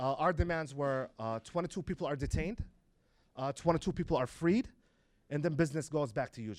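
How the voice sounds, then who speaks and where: A man with a fairly high pitch and an ordinary speaking voice talks at a moderate pace with ordinary pitch variation. The recording is very clean, with a silent background. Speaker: community organizer. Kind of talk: public talk to students. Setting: stage with audience.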